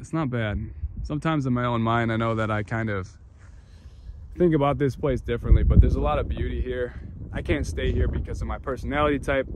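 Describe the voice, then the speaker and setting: A man with an American accent rattles along very fast while noticeable background noise plays behind him. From upstate New York. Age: 30s. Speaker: travel vlogger. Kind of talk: vlog narration. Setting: outdoors. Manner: animated.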